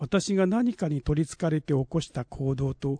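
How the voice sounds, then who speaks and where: A man speaks at a fairly high pitch with ordinary pitch variation and a somewhat breathy quality. His pace is moderate, and the sound is dry and close with no echo. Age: 60s. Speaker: essay contest winner. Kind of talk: reading aloud.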